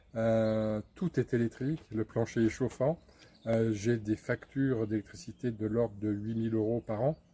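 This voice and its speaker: Speaking at a fairly slow pace, a man with a medium pitch keeps fairly even intonation and very even loudness. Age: 60s. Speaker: customer giving a testimonial. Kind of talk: testimonial interview. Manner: hesitant, many fillers.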